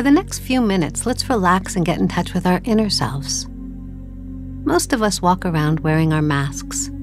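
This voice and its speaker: A woman speaks in a calm tone with hardly any pauses. Music plays in the background. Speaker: meditation guide. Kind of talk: guided meditation. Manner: calm, slow.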